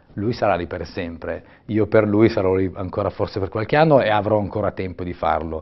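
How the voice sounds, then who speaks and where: Moving at a fairly quick pace, a man speaks with a fairly low pitch and ordinary pitch variation. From Italian mountains. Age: 50s. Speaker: ultra-cyclist and bike shop owner. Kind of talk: casual interview. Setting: studio. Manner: halting.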